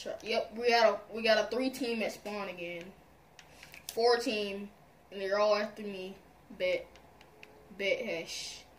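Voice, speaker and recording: A woman's fairly slow speech with long, frequent pauses, big swings in loudness and light background noise. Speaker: gamer. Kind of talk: casual gaming commentary. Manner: excitable. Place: home room.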